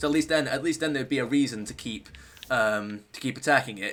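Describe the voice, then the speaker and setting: With ordinary pitch variation, a man races along at a very fast pace. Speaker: gaming streamer. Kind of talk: live gameplay stream chat. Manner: halting, many fillers and restarts.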